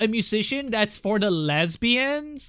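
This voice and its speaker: Against a silent background on a very clean recording, a man with a high pitch projects a raised, bright, sharp voice with very wide pitch swings. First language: not English. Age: 30s. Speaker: artist streamer. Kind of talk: casual live stream chat. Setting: live stream. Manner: animated.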